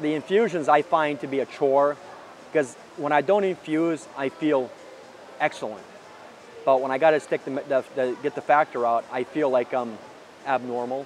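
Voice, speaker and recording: A man talks at a moderate pace with ordinary pitch variation, leaving long, frequent pauses. Noticeable background noise is present. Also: fairly high pitch for a man. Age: 40s. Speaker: patient with hemophilia. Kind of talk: interview testimony. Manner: halting.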